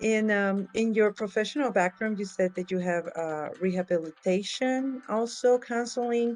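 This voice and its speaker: A woman with a medium pitch and ordinary pitch variation keeps a moderate pace with hardly any pauses. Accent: non-native. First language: not English. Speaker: attendee asking a question. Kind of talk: audience question. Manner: halting.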